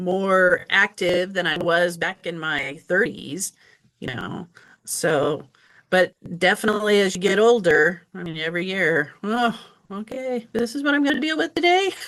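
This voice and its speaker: A woman speaks in a plain, everyday voice at a medium pitch. Her intonation is lively. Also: fairly slow pace. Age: 60s. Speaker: patient sharing health experience. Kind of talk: interview testimony.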